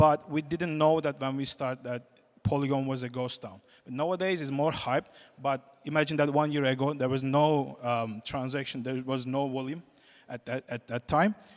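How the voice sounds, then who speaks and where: Here a man speaks with a non-native accent and fairly even intonation. His voice sits fairly high. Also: moderate pace. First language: not English. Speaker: game company CEO, conference speaker. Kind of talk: conference talk. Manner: halting, many fillers.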